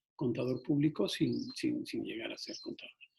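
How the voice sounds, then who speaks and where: He keeps to a fairly slow pace. The voice belongs to a man. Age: 60s. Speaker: entrepreneur giving a workshop. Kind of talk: online workshop talk. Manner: hesitant, many fillers.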